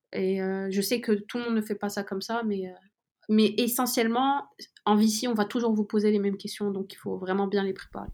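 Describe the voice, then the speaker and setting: At a moderate pace, a woman talks in a flat monotone at a medium pitch. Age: 20s. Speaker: student intern in venture capital. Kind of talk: interview.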